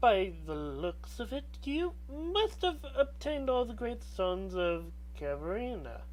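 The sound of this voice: Against clear background noise, a put-on character voice proceeds at a fairly slow pace.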